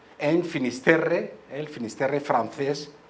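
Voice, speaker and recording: Very slowly and with ordinary pitch variation, a man speaks in a space with audible room echo. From Madrid, Spain. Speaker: history professor. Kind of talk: school talk. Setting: school assembly hall with microphone.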